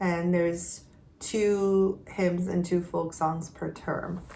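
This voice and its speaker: Fairly low in pitch, a woman speaks at a very slow pace with fairly even intonation amid audible room echo. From Quebec. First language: not English; English is her third language. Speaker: homeschooling mother. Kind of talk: casual vlog update. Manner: conversational with frequent fillers and restarts.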